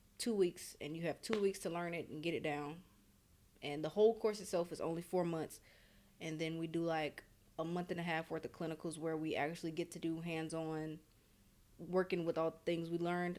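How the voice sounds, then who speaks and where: The speaker goes at a fairly quick pace with fairly even intonation, broken by long, frequent pauses. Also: woman, fairly low pitch for a woman. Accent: Louisiana. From Louisiana, US South. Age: 20s. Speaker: paramedic student. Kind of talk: interview. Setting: hotel.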